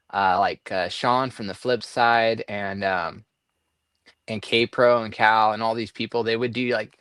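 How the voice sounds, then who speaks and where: On a very clean recording with a silent background, a man with a Southern California accent speaks at a fairly slow pace and medium pitch, in a monotone, flat delivery. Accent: skater-style Southern California speech. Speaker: treasure hunt puzzle box maker. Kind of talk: casual chat. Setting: live stream.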